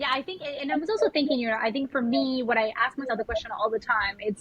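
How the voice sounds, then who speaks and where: Speaking with a Spanish accent, a woman uses a high pitch and ordinary pitch variation. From Colombia. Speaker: spiritual mentor and yoga teacher. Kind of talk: podcast interview.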